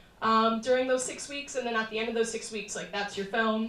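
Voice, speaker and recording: A woman's fairly high voice with an American accent and fairly even intonation, with audible room echo. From Arizona. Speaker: documentary filmmaker. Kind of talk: panel Q&A after film screening. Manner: loud.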